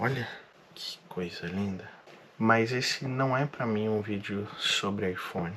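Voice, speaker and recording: Talking at a very slow pace, a man with a fairly low pitch has a bright, sharp tone and ordinary pitch variation. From Brazil, interior of São Paulo state (Marília). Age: 30s. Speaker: vlogger. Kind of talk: personal vlog monologue.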